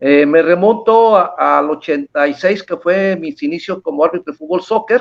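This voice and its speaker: Talking at a moderate pace with hardly any pauses, a man uses a high pitch and lively intonation. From Mexico, Manzanillo, Colima. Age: 60s. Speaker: retired international futsal referee. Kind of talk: interview.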